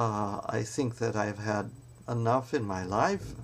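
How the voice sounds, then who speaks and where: Speaking at a medium pitch, a man uses fairly even intonation with vocal fry. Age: 70s. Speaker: spiritual vlogger. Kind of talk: reflective monologue. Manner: halting, many fillers.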